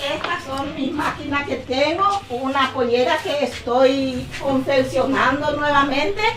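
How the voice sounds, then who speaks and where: Spoken at a very slow pace with ordinary pitch variation, the voice comes with noticeable background noise and audible room echo. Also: woman. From Paraguay, Tebicuary. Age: 60s. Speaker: seamstress. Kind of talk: casual interview. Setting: her home workshop.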